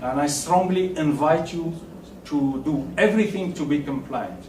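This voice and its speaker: A man with a fairly high voice speaks fairly slowly with ordinary pitch variation. Noticeable background noise and audible room echo surround him. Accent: non-native. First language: French. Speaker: tax consultant. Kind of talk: lecture. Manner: halting.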